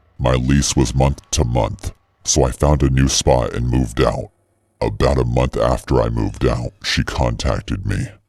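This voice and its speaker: Someone delivers lines in a put-on character voice at a moderate pace. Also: man, very deep, low pitch for a man. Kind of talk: horror narration. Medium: read story. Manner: measured, suspenseful.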